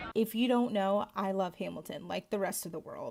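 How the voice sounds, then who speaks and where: A woman speaks at a fairly quick pace, her medium-pitched voice sounding animated. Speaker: actor and vlogger. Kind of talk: vlog. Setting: at home. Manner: loud.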